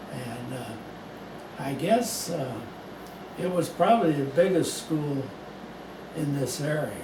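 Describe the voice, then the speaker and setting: Very slowly and with long, frequent pauses, a man with an American accent speaks in a fairly high pitch with ordinary pitch variation. Audible room echo and noticeable background noise fill the recording. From US Midwest, St. Louis County, Missouri. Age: 90s. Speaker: longtime local resident. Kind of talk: oral history interview. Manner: halting, many fillers.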